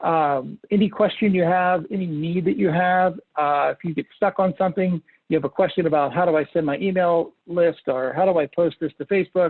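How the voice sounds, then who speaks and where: Pitched high for a man, this voice moves at a fairly quick pace with ordinary pitch variation. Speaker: marketing tools company representative. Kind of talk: webinar presentation. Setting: online webinar. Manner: fast.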